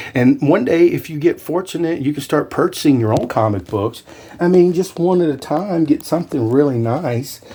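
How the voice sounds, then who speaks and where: Noticeable background noise accompanies a man talking. He keeps a moderate pace and a fairly high pitch. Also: lively intonation. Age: 60s. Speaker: YouTuber and realtor. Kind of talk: casual vlog talk. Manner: enthusiastic.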